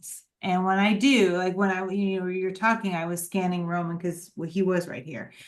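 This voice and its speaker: Fairly quick and with hardly any pauses, a woman speaks at a medium pitch with fairly even intonation, big swings in loudness, and audible room echo. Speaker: dog owner and daughter of the featured guest. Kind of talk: casual chat. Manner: emphatic like a coach.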